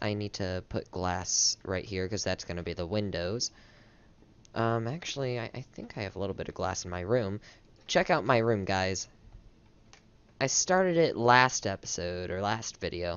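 Delivery comes at a moderate pace. It is a normal speaking voice. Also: man. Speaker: gaming youtuber. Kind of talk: casual gameplay commentary. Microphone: headset.

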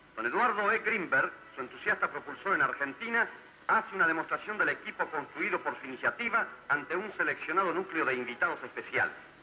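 Lively intonation in very fast speech, with noticeable background noise behind it. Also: man, high pitch for a man. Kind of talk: vintage tv documentary narration. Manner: stately, formal, declamatory newsreel-style delivery.

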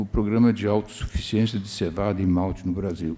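Ordinary pitch variation marks a man's dark, mellow tone. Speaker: veteran maltster and brewer. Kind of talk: panel discussion. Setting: stage with audience. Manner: halting. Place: stage. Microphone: handheld.

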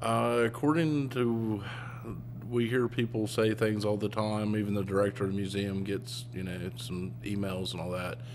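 A man talks at a moderate pace in a fairly low voice with ordinary pitch variation. There is light background noise. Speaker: museum staff or guide. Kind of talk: interview answer. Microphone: handheld.

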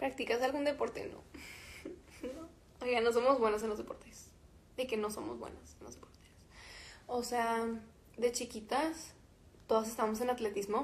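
A woman talks at a moderate pace and high pitch with fairly even intonation, big swings in loudness, and long, frequent pauses. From Mexico. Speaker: musician. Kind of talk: casual livestream chat with fans. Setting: Instagram live stream. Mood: relaxed, chatty. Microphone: phone near.

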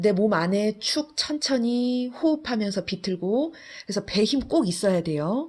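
Somewhat breathy and fairly high-pitched, the woman talks at a fairly slow pace with very wide pitch swings. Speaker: fitness instructor. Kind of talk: guided workout instruction, giving exercise cues. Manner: calm, steady, encouraging; imperative, rhythmic cueing in short phrases.

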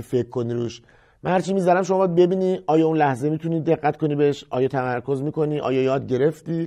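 A man's fairly high voice at a fairly quick pace, with ordinary pitch variation and a quiet background. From Iran, Kashan; Iran. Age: 30s. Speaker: music teacher. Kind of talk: tutorial; course introduction talk. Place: studio. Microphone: lapel.

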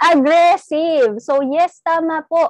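A woman with an English accent speaks in a dry sound with no echo. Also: quiet background. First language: English (speaking Tagalog). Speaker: network marketing trainer; sales trainer. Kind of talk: training talk. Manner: animated. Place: home room. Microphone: webcam.

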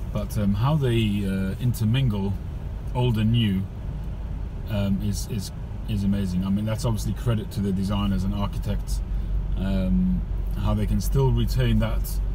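Over noticeable background noise, a man with a very deep, low voice talks at a moderate pace with long, frequent pauses, the sound dry with no echo. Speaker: driver vlogger. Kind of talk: casual vlog chat. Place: car. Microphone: phone near.

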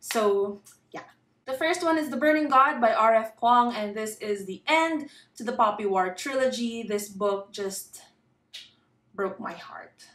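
In a Filipino accent, the speaker talks at a fairly slow pace with lively intonation and big swings in loudness, and audible room echo can be heard. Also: woman, fairly high pitch for a woman. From Philippines. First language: Tagalog. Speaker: booktuber; book vlogger. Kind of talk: casual vlog. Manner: pauses to find words. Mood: wistful, fond. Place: home room.

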